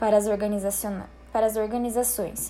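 A woman speaks with audible room echo. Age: 20s. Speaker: presenter of a professional skills talk. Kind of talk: lecture with slides. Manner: formal.

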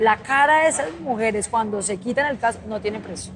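Through noticeable background noise, a woman talks at a very fast pace with ordinary pitch variation. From Colombia, Cali. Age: 30s. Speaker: motorcycle instructor and influencer. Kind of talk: interview conversation. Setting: trade fair.

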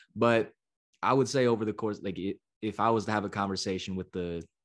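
American accent over a quiet background. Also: man. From San Francisco Bay Area, California. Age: 20s. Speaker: sports reporter. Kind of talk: casual podcast interview.

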